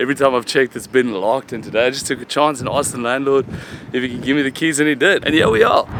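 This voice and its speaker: A man speaks at a very fast pace with fairly even intonation, against noticeable background noise. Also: medium pitch for a man. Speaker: vlogger. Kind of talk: casual vlog talk. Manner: soft-spoken.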